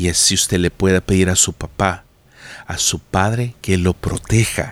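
Very deep, low male voice with a warm tone, very slow pace and ordinary pitch variation, dry and close with no echo. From Latin America, tropical country. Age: 40s. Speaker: pastor. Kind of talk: devotional podcast monologue. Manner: warm, direct address to listener.

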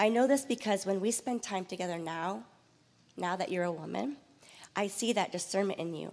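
With vocal fry and lively intonation, a woman speaks at a medium pitch and a fairly quick pace. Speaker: church mentor. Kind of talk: personal tribute. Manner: reading prepared text.

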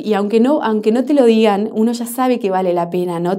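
A woman moves through her words fairly quickly, her medium pitch varying in an ordinary way. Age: 30s. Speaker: NGO founder. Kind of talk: interview. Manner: halting, with frequent repetitions.

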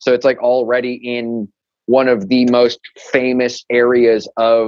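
In an American accent, a man speaks with monotone, flat intonation. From Chicago, US Midwest. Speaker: rock band frontman. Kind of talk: casual chat.

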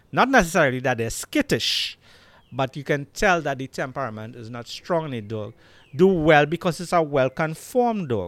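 In a Trinidadian accent, a man with a fairly high pitch talks at a moderate pace with lively intonation and big swings in loudness, recorded dry and close with no echo on a very clean track with a silent background. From Trinidad and Tobago. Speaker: Rottweiler breeder. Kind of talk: casual interview chat. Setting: video podcast recorded at his home.

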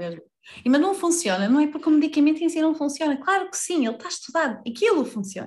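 Speaking in a European Portuguese accent, a woman lets her pitch swing very widely. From Portugal, Vila Real. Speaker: life coach. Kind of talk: casual interview chat.

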